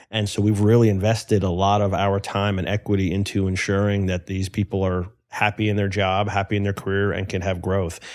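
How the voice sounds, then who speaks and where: A man with an American accent talks at a fairly quick pace with hardly any pauses, his fairly low voice monotone and flat. The recording is very clean, with a silent background. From New York / New Jersey area. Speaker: entrepreneur and business owner. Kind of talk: podcast interview.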